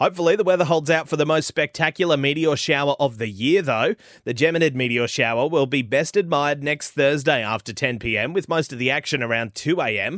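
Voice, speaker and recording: Very fast and with hardly any pauses, a man speaks in an Australian accent at a fairly high pitch with ordinary pitch variation. The recording is very clean with a silent background, and the sound is dry and close with no echo. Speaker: radio news presenter. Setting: studio. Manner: crisp, even and formal, authoritative and fluent with no hesitations.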